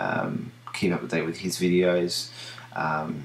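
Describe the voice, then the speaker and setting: In an Australian accent, a man speaks at a very slow pace with a very deep, low pitch. Audible room echo is present. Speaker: video diarist with diabetes. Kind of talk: video diary. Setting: home at night. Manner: halting, many fillers.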